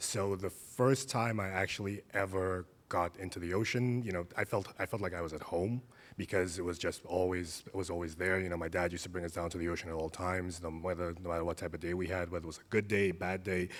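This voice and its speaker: Speaking very fast with hardly any pauses, a man has a very deep, low pitch and fairly even intonation. He talks with a slight Caribbean accent. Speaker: surf therapy practitioner. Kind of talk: panel conversation.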